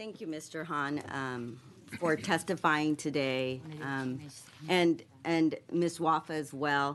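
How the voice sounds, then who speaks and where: A woman speaks at a very slow pace. Her pitch is very deep and low, and her intonation fairly even. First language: Spanish. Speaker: state legislator. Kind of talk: committee questioning. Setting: legislative committee hearing.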